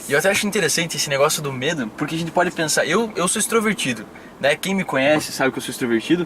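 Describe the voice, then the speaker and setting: A man's very fast, lively-toned speech at a fairly high pitch, over noticeable background noise. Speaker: podcast host and speaker. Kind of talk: interview conversation.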